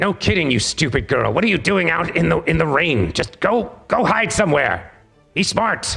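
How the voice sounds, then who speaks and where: A put-on character voice from a man, pitched high, at a moderate pace with faint music in the background. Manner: cranky, scolding.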